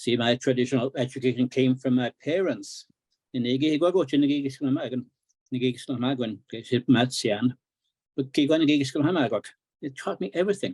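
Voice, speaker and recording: Dry and close with no echo, a man speaks at medium pitch and a fairly quick pace with ordinary pitch variation. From northern Saskatchewan, Cree community. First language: Cree. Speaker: author and Cree language teacher. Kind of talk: book launch talk.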